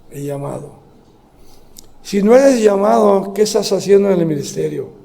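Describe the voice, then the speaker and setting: A man talks at a moderate pace in a high voice with lively intonation and big swings in loudness. Noticeable background noise and audible room echo are present. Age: 70s. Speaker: pastor. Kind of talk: sermon. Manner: halting.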